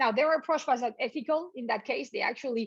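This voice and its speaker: A woman's high voice at a very fast pace, with a French accent. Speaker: business professor. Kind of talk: lecture.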